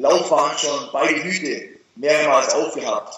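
A man talks at a very slow pace amid audible room echo. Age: 20s. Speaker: fitness YouTuber and online entrepreneur. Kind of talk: casual interview.

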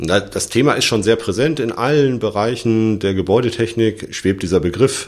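At a moderate pace with hardly any pauses, a man speaks in an ordinary speaking voice at medium pitch with ordinary pitch variation. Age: 40s. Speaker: electrical engineer and engineering firm partner. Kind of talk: interview.

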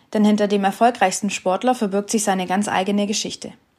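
Very clean and silent in the background, this recording has an ordinary speaking voice. A woman speaks at a fairly quick pace with a fairly high pitch. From Stuttgart region, Swabia, Germany. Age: 20s. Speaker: podcast host. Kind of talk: scripted introduction.

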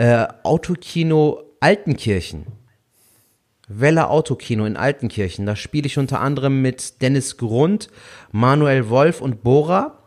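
With a slight Rhineland accent, a man talks at a fairly slow pace in a medium pitch, his intonation lively. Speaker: stand-up comedian. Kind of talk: casual chat. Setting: video call. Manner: melodic.

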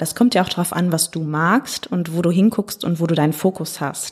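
A woman talks in a plain, everyday voice. Her pace is moderate and her intonation fairly even. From Ruhr area, Germany (Hagen). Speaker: artist, curator and consultant. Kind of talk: casual interview.

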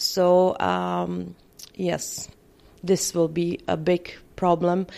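A woman with a Czech accent has a dark, mellow tone and a fairly low pitch. The recording is very clean, with a silent background. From Czech Republic. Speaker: permanent makeup trainer. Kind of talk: interview. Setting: conference.

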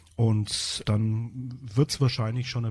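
On a very clean recording with a silent background, a man speaks at a medium pitch in a dark, mellow tone that is somewhat breathy. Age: 50s. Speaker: rehabilitation teacher for the blind. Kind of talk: interview. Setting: studio. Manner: hesitant, repeats words.

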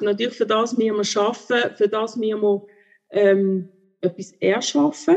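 Her voice is a woman's, fairly high in pitch, with ordinary pitch variation. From Switzerland, Basel. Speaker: theologian and contemplation teacher. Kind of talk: interview. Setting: video call.

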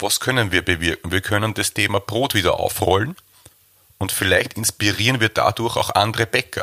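With an Austrian accent, a man speaks at a moderate pace and fairly low pitch in a bright, sharp tone, with ordinary pitch variation and very even loudness, in a dry, close sound with no echo. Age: 30s. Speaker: baker and bakery owner. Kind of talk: interview.

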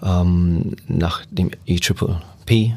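This man's pitch is very deep and low. He speaks with an English accent and ordinary pitch variation. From England. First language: English (speaking German). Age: 40s. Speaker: youth football coach. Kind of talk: interview. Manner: halting, many fillers.

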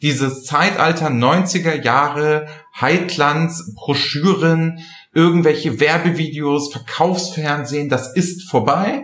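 Over noticeable background noise and audible room echo, a man with a fairly high pitch talks at a very slow pace and very even loudness. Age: 50s. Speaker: business intelligence podcast host. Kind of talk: casual chat. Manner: animated.

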